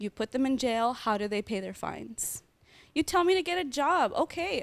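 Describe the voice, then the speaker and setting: On a very clean recording with a silent background and a dry, close sound with no echo, a high-pitched woman speaks at a moderate pace in an animated tone with very wide pitch swings. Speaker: protester and discussion panelist. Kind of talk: group discussion.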